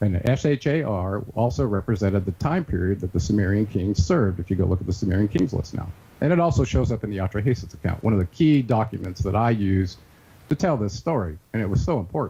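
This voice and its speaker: The voice is somewhat breathy with a dark, mellow tone. Its intonation is lively and its pace very fast. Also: man, fairly low pitch for a man. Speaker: researcher and author. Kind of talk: interview.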